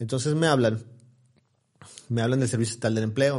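Speaking with fairly even intonation, a man uses a normal speaking voice at medium pitch. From Mexico, Ciudad Victoria, Tamaulipas. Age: 40s. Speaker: news portal founder and influencer. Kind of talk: casual interview.

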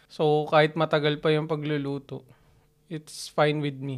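Quietly and at a fairly slow pace, a man speaks in a fairly high voice on a very clean recording with a silent background. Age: 30s. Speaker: podcast co-host. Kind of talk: casual chat. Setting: home recording. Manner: quiet, reserved.

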